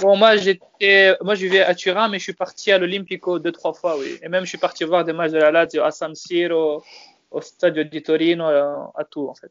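A man speaks at a moderate pace in a high voice with fairly even intonation. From France. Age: 20s. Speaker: football fan. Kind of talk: casual chat.

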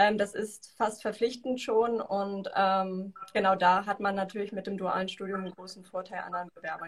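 A woman talks at a moderate pace with hardly any pauses, her medium-pitched voice somewhat breathy and her intonation flat and monotone. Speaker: university study advisor. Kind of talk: interview. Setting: video call.

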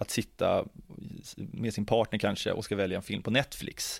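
This recording is very clean and the background silent. The speaker is a man. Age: 30s. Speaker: ethnology doctoral researcher. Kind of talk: interview conversation.

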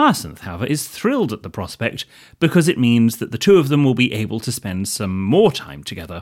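Speaking with a British accent, a man uses a medium pitch with very wide pitch swings at a fairly quick pace. The recording is very clean, with a silent background. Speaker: podcast co-host. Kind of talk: casual chat.

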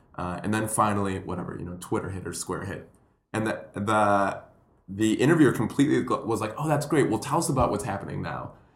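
A man talks at a fairly quick pace with a fairly low pitch. His intonation is lively, and audible room echo surrounds him. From Puerto Rico. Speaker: comedian and educator. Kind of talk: casual chat.

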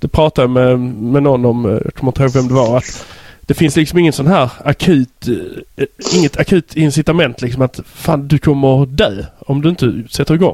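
With a Scanian accent, a man speaks at a moderate pace and a fairly high pitch, in a dry, close sound with no echo. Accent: Skåne dialect. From southern Sweden (Skåne). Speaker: podcast host. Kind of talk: casual interview chat. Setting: Skype call.

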